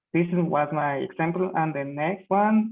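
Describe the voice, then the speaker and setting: A man speaks with a Spanish accent. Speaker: student. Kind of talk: speaking exam practice answer. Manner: halting.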